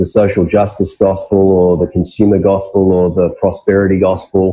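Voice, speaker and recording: The tone is dark and mellow. Intonation stays monotone and flat at a moderate pace. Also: man. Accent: Australian. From Australia. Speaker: pastor. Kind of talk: interview.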